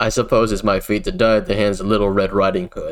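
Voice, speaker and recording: A man rattles along at a very fast pace in a put-on character voice. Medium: virtual streamer. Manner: arrogant.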